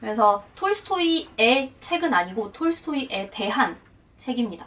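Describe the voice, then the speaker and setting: Over noticeable background noise, a woman with a Russian accent speaks at a high pitch and a fairly slow pace, her pitch swinging very widely. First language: Russian (speaking Korean). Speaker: translator and interpreter, vlogger. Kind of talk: casual explanatory vlog talk.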